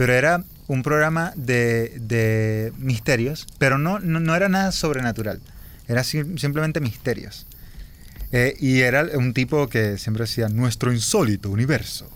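In a plain, everyday voice, a man talks at a fairly slow pace with medium pitch, ordinary pitch variation and very even loudness. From Venezuela, Anzoátegui. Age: 30s. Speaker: podcast host. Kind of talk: casual chat. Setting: outdoors by a campfire in woods.

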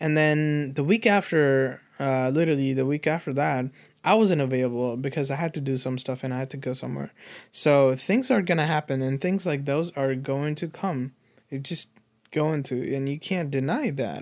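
A man speaks at a fairly high pitch with ordinary pitch variation in a plain, everyday voice, on a very clean recording with a silent background. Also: moderate pace. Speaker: podcast co-host. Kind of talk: casual chat. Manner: relaxed, joking.

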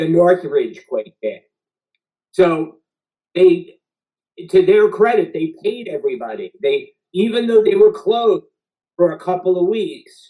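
A man with a New York accent talks at a fairly slow pace, leaving long, frequent pauses. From Queens, New York. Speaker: TV writer and showrunner. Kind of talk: casual interview chat.

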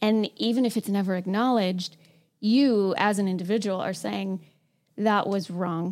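Her intonation is fairly even and her pitch medium. This woman has an ordinary speaking voice. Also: moderate pace. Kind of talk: reflective group discussion on grief. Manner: casual, chatty, laughs often.

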